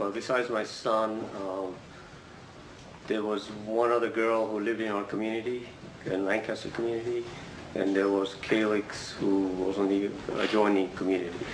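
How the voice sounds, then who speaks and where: A man speaks at a moderate pace with monotone, flat intonation and long, frequent pauses. Noticeable background noise and audible room echo fill the recording. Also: fairly low pitch for a man. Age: 60s. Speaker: trial witness, IT manager. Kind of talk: courtroom testimony. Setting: courtroom.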